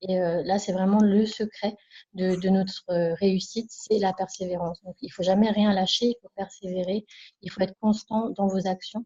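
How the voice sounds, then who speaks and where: A woman speaks softly at a moderate pace, her medium-pitched voice somewhat breathy. Her intonation stays monotone and flat. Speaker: network marketing distributor. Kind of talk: testimony. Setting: video call. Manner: soft-spoken.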